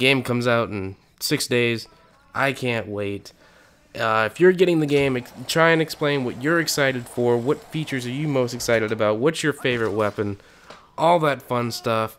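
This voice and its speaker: A man of medium pitch speaks at a moderate pace with ordinary pitch variation, with noticeable background noise behind him. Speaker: gaming youtuber. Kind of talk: video commentary.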